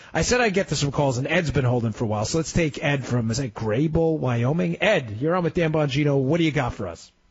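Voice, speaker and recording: A man talks very fast with hardly any pauses. His fairly high voice swings very widely in pitch. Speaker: radio talk show fill-in host. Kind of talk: call-in talk radio. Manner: animated.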